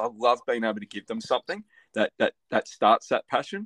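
The sound is dry and close, with no echo. The speaker has an Australian accent and a fairly quick pace. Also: man. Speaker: podcast host. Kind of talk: casual interview.

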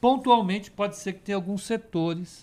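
A man on a very clean recording, with a silent background. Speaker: financial market analyst. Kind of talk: live market commentary call. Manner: halting, many repetitions and fillers.

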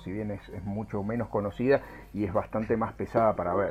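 A man speaks at a fairly low pitch and a fairly quick pace, keeping his intonation fairly even. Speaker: aerospace engineer. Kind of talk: interview. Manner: halting.

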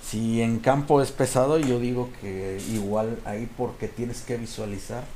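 With a Mexican accent, a man speaks at a fairly slow pace and medium pitch with fairly even intonation, and audible echo in the room. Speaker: podcast guest storyteller. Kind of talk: casual storytelling.

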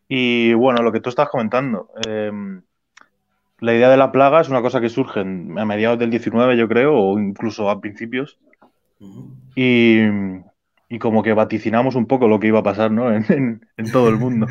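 Against a quiet background, a man speaks at a moderate pace and medium pitch with fairly even intonation. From Spain (Alicante). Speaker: punk rock bassist. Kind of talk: interview. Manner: halting.

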